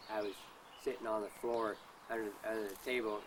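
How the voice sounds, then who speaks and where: Amid noticeable background noise, a man with a US Midwestern accent speaks in a flat monotone at a fairly low pitch. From US Midwest, Kansas and Missouri. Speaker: interviewee, father of a whistleblower. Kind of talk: interview. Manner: halting, stammering repetitions.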